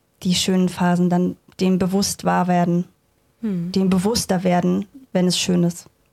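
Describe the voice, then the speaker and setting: At a fairly slow pace, a woman speaks at medium pitch in a dark, mellow tone, in a very clean recording with a silent background. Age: 20s. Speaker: astrology trainee. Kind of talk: interview.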